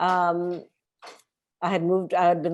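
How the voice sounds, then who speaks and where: A woman speaks in a Canadian accent with a fairly low pitch. The background is quiet. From Montreal, Canada. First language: Hindi. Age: 40s. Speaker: former bookstore worker and activist. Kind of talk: oral history interview.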